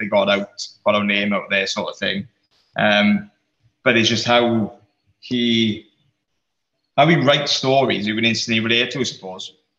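Using a bright, sharp tone, a man of medium pitch talks at a moderate pace with fairly even intonation and long, frequent pauses. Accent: South Wales Valleys. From South Wales Valleys, Rhondda/Aberdare. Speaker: creative industry worker, band fan. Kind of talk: casual chat.

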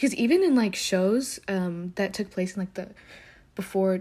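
A somewhat breathy voice with an American accent, on a very clean recording with a silent background. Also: woman. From US South (Alabama), Ethiopian parents. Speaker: solo podcaster. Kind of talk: casual monologue. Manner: fast, rambling talker; animated, expressive.

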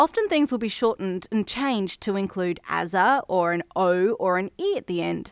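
Heard on a very clean recording with a silent background, a woman speaks with an Australian accent at a medium pitch and moderate pace. Her pitch variation is ordinary, and the sound is dry and close with no echo. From Australia, Brisbane, Queensland. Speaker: podcast host. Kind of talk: scripted narration.

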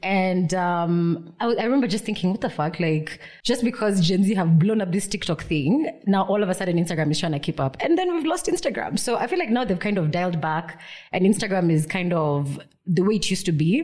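A woman talks at a fairly quick pace in a medium pitch. Her intonation is lively and her voice somewhat breathy. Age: 30s. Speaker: podcast host. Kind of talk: casual chat. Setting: studio.

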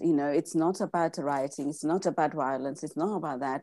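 Captured on a very clean recording with a silent background, a woman with an Indian accent speaks at a fairly low pitch in a dark, mellow tone with ordinary pitch variation. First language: Gujarati. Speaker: mindset coach. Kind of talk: interview. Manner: halting.

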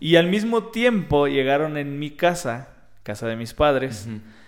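Speaking at a moderate speed, a man shows ordinary pitch variation amid audible room echo. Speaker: podcast co-host. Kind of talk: casual chat.

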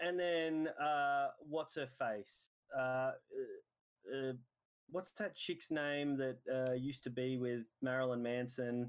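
A man at medium pitch with fairly even intonation and very even loudness, very slow pace and long, frequent pauses. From Australia. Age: 30s. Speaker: podcast co-host. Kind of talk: casual chat. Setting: remote call.

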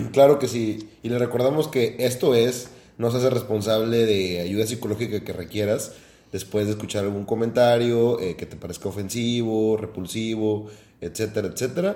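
His voice has a dark, mellow tone at a medium pitch, as the man speaks at a moderate pace with fairly even intonation. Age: 20s. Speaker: podcast co-host, engineer. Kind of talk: casual chat.

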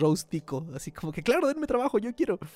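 Very fast, lively speech in a Mexican accent, dark and mellow in tone, with a dry, close sound and no echo. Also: man. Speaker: podcast host. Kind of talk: casual chat.

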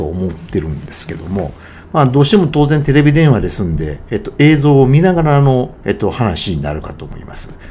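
Recorded with audible room echo, a man at a medium pitch makes very wide pitch swings and big swings in loudness. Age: 50s. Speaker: podcaster. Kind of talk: solo monologue podcast. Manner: halting with many fillers.

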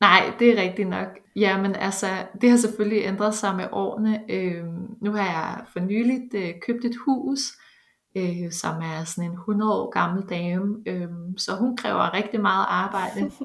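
A woman of medium pitch speaks at a fairly slow pace with ordinary pitch variation. Audible room echo surrounds her voice. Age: 30s. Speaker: bioinformatics researcher. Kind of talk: interview. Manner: halting, many fillers.

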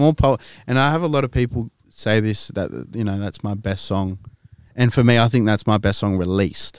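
A man with a Sydney accent talks at a moderate pace in a fairly low voice. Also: ordinary pitch variation. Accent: Australian (Western Sydney). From Western Sydney, Australia. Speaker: rapper. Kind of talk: casual chat.

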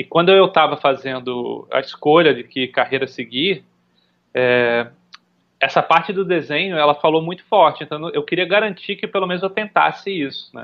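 A man with a fairly high-pitched voice talks at a moderate pace. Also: ordinary pitch variation. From Brazil, Recife (Pernambuco). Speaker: UX design director. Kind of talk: podcast interview. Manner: halting, many fillers and repetitions.

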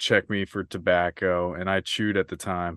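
With an American accent, a man speaks in a very deep, low pitch and a monotone, flat intonation, the sound dry and close with no echo over a quiet background. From US Midwest (Kansas). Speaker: podcaster. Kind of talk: casual chat. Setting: video call.

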